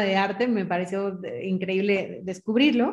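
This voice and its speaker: Ordinary pitch variation runs through a woman's speech at a moderate pace. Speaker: fashion stylist and consultant. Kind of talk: interview. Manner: halting, many fillers.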